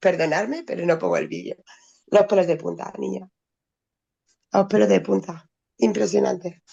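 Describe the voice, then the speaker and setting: Long, frequent pauses interrupt speech that otherwise runs at a moderate pace. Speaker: friend attending online class. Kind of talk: casual chat.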